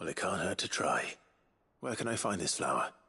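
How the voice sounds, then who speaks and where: A man uses a put-on character voice at a medium pitch. He moves at a fairly quick pace, his loudness very even. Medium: video game. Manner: steady, earnest.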